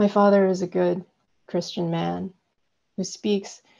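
The background is quiet as a woman speaks at a very slow pace. Her voice is fairly low for a woman with a dark, mellow tone. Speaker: poet reading her work. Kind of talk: poetry reading. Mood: calm, measured, intimate. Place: home room. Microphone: earbuds.

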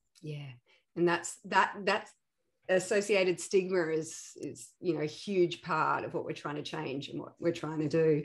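The speech moves at a fairly slow pace with fairly even intonation against a quiet background. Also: woman, fairly low pitch for a woman. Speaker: podcast host, founder of an ADHD support organization. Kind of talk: casual interview. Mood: warm, friendly. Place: home room. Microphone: earbuds.

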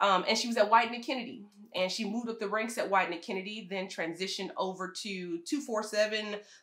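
A woman speaks with an American accent at a moderate pace. Her pitch is fairly high. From US Midwest, Michigan. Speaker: HR firm founder and podcast host. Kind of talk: panel discussion. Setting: at home. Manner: loud.

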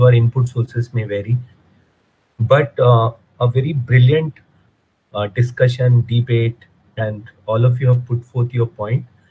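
A man speaks at a fairly slow pace in a flat, monotone way, a little breathy, with long pauses that come often. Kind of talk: judge's feedback remarks. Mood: warm, appreciative. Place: home room. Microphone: video call.

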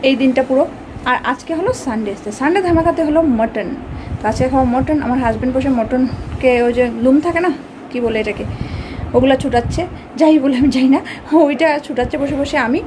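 Noticeable background noise behind a woman's high voice with ordinary pitch variation. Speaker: home vlogger. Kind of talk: casual vlog chat. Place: home room. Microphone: phone near.

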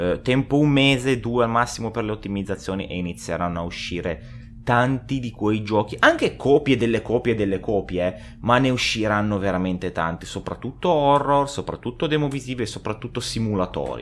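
Lively in intonation, a man talks at a moderate pace with a fairly low pitch. Light background noise can be heard. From Italy. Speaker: gaming youtuber. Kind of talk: gameplay reaction commentary. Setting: at home. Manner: animated. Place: home room. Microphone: studio mic.

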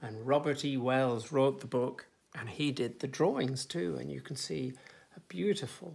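In an English accent, a man with vocal fry speaks at a fairly slow pace in a gentle tone. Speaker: nursery teacher. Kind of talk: children's picture book reading. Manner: gentle, engaging, addressing children directly. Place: home room. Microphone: phone near.

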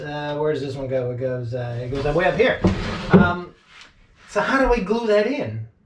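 There is audible room echo as a man talks with lively intonation.

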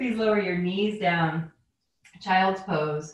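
A woman talks at a fairly slow pace in a plain, everyday voice. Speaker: yoga instructor. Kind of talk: guided yoga class, calm cueing with warm, playful asides. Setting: online video class. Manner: soothing, slow, instructional, gently upbeat.

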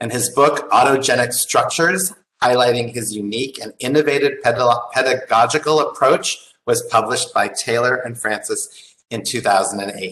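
Over a quiet background, a man speaks in a bright, sharp tone at a moderate pace. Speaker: architect. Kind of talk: formal speaker introduction. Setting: video call. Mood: warm, smiling. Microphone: video call.

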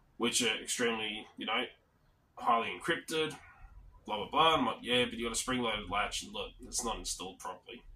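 A man with an Australian accent, medium pitch, ordinary pitch variation and a fairly quick pace. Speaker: lock picking and physical security channel host. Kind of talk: casual vlog monologue. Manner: rambling with fillers.

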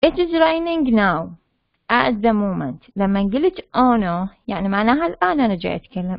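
Her medium-pitched voice swings very widely in pitch as the woman speaks at a moderate pace. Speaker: university lecturer teaching English. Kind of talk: lecture. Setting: online class with chat and mute. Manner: explanatory, code-switching between Arabic and English.

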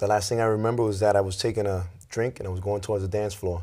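Over a quiet background, a man with a New York accent speaks very fast in a fairly low, dark, mellow voice with flat, monotone intonation. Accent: New York City. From Lawrence, Massachusetts (born in New York City); Massachusetts. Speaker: youth pastor and prison ministry volunteer; guest. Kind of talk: testimony. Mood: earnest, personal storytelling. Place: studio. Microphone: lapel.

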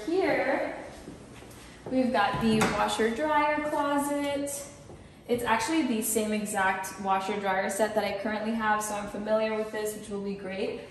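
At a moderate pace, a woman talks with ordinary pitch variation over light background noise and audible room echo. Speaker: vlogger. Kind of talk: casual vlog chat. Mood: upbeat, excited. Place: empty room. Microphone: phone near.

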